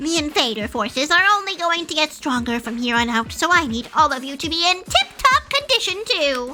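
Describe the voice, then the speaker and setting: This woman uses a put-on character voice. She talks at a fairly quick pace. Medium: virtual streamer. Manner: taunting, gleeful, crude.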